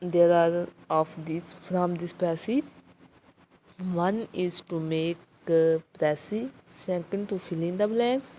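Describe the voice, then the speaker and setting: Very slow speech from a woman with a fairly low pitch, ordinary pitch variation, and long, frequent pauses. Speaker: English teacher for exam prep. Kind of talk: lecture.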